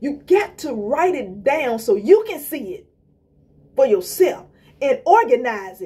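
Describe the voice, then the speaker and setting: The pitch swings very widely. The tone is dark and mellow. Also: woman. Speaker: inspirational vlogger. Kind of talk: motivational talk. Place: home room. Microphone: phone near.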